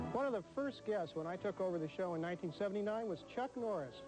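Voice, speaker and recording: Music plays in the background as a high-pitched man speaks with lively intonation. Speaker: TV horror host. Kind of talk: casual on-air banter.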